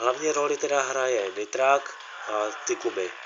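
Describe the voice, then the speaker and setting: A man's speech comes through with noticeable background noise behind it. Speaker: gaming youtuber. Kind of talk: gameplay commentary. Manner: halting.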